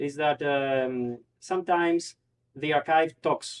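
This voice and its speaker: With a Greek accent, a man speaks at a fairly high pitch with ordinary pitch variation in a dry, close sound with no echo. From Greece, Thessaloniki. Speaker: PhD researcher in history. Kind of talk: academic presentation. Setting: cultural society hall with audience. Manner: halting, many fillers.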